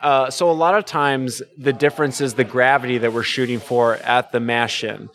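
With music playing behind him, a man talks at a moderate pace in a medium pitch, with ordinary pitch variation and hardly any pauses. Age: 30s. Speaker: brewer. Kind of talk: casual chat.

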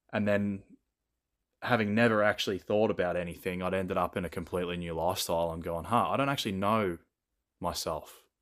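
Very fast speech in an Australian accent, with fairly even intonation and long, frequent pauses, comes through on a very clean recording with a silent background. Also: man, very deep, low pitch for a man. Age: 20s. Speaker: podcast guest, fitness content creator. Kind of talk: casual chat.

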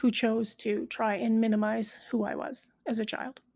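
Fairly high in pitch yet dark and mellow in tone, a woman speaks somewhat breathily at a fairly slow pace with monotone, flat intonation, the sound dry and close with no echo. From Canada, southern rural Alberta. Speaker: podcast host. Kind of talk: personal monologue.

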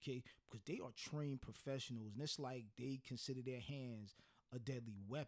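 A man with an unremarkable speaking voice talks fairly quickly at medium pitch, keeping his intonation fairly even. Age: 50s. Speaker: podcast co-host. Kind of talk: casual chat.

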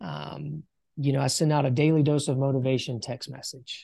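A man speaks in a Southern US accent at a moderate pace. His pitch is fairly high, and the background is quiet. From US South, rural South Carolina. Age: 40s. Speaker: business coach. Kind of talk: casual interview.

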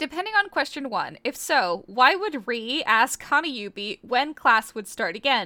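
A woman projects a high, bright, sharp voice with very wide pitch swings. She talks fairly slowly, with hardly any pauses. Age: 20s. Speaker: podcast co-host. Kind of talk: casual chat.

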